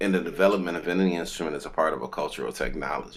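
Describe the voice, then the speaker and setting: Very fast speech comes from a man with a very deep, low pitch and vocal fry. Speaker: musician and kora player. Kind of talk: interview answer. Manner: casual, conversational.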